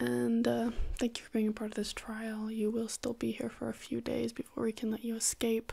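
The speaker is soft-spoken, with a dark, mellow tone and a moderate pace. The background is quiet. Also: woman. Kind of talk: soft-spoken role-play address to viewer. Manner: soft ASMR close-mic voice. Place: home room.

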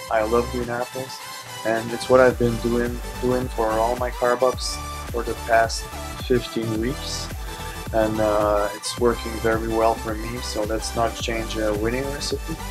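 A man at a fairly slow pace, with clear music in the background. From French Canada. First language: French. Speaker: bodybuilder. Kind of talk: casual vlog talk to camera. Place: shop. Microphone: phone near.

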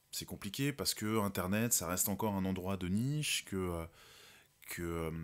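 In a very clean recording with a silent background, a man with an unremarkable speaking voice and a fairly low pitch talks at a fairly slow pace with ordinary pitch variation. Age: 30s. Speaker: actor and director. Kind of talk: interview.

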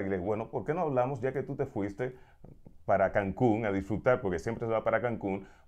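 Talking very fast, a man keeps ordinary pitch variation while the background stays quiet. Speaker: radio host. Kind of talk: casual interview chat. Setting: studio. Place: studio. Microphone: lapel.

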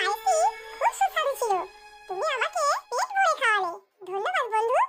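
A squeaky, cartoonish character voice at an extremely high pitch. The pace is moderate. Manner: gentle, polite.

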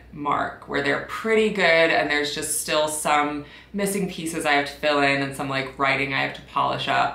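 A woman's very deep, low voice with fairly even intonation and audible room echo. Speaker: PhD student vlogger. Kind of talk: casual vlog chat. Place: home room.

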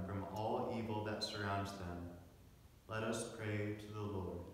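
Spoken at a fairly slow pace, the voice carries strong room echo and light background noise. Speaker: lector and congregation responder at mass. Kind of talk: scripture reading aloud and liturgical responses. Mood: solemn, calm. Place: church.

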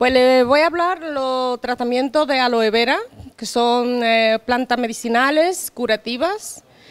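A woman speaks at a very slow pace in a high pitch. Her pitch varies in an ordinary way. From Dominican Republic. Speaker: beauty therapist; guest. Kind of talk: casual chat. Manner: halting. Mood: relaxed, friendly. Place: home room. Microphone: handheld.

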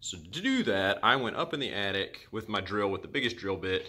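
Speaking at a moderate pace, a man has a fairly low pitch and a bright, sharp tone. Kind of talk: tutorial. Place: home room. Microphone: phone near.

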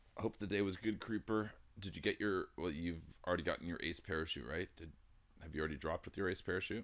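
Very deep and low, a man's voice rushes at a very fast pace with ordinary pitch variation. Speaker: livestreamer. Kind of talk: casual stream chat. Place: home room.

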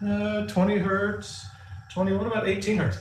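There is light background noise and audible room echo. A man speaks at a fairly slow pace. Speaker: physics professor. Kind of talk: lecture. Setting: recorded lecture with demonstrations. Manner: casual, humorous. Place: home room. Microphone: video call.

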